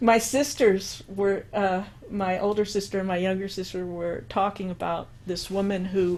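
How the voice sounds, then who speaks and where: Very slowly, a woman with an American accent talks at a medium pitch with fairly even intonation. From New York, the Bronx. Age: 60s. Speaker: musician and composer. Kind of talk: interview. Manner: halting.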